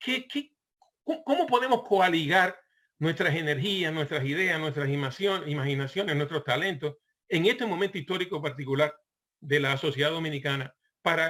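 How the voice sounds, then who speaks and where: A man talks with a fairly high pitch, keeping a moderate pace and ordinary pitch variation. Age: 60s. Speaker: online portal founder, commentator. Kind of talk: panel discussion remarks. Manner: halting, many fillers and repetitions.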